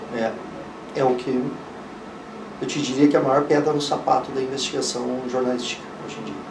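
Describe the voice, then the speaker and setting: A man at a medium pitch talks at a fairly quick pace in a flat monotone, with long, frequent pauses, big swings in loudness, noticeable background noise and audible room echo. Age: 60s. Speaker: investigative journalist. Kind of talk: interview.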